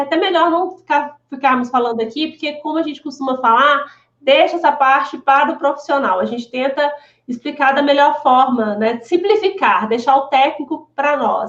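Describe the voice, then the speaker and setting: Moderate pace with ordinary pitch variation. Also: woman. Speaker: lawyer specializing in family holdings. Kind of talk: live stream Q&A. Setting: live video stream. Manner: halting, many repetitions.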